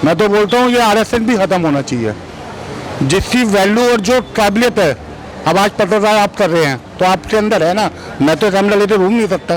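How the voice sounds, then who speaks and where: Against noticeable background noise, a man with a high voice speaks at a moderate pace and a very even loudness. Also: ordinary pitch variation. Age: 50s. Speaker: member of the public. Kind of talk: street interview.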